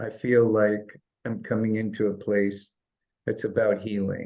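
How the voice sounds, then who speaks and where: At a moderate pace, a man speaks with fairly low pitch and monotone, flat intonation. His tone is dark and mellow. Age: 60s. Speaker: chiropractor and holistic healer. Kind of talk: interview.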